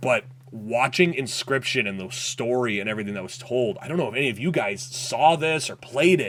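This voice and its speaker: A man talking at a fairly quick clip, lively intonation and big swings in loudness over noticeable background noise. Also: medium pitch for a man, hardly any pauses. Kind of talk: casual gaming news stream. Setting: livestream. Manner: fast.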